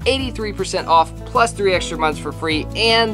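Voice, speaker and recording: A man speaks with clear music in the background. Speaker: travel vlogger. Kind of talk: sponsor read. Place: home room.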